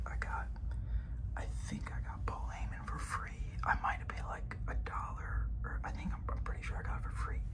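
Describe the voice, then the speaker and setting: A whispered voice keeps a moderate pace as noticeable background noise sounds behind it. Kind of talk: ASMR collection show-and-tell.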